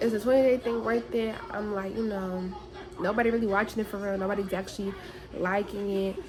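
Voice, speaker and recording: A woman over noticeable background noise. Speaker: beauty vlogger. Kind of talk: casual vlog chat. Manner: rambling, halting.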